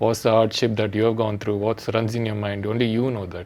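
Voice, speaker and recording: A man with a South Indian accent at a very fast pace over noticeable background noise. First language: Telugu. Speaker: international cricketer. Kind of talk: casual chat. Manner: halting.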